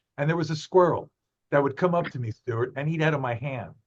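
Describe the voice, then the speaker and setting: This is a man's voice. He has a New York accent. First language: Spanish. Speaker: zoo ambassador and wildlife photographer. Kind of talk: interview. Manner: animated.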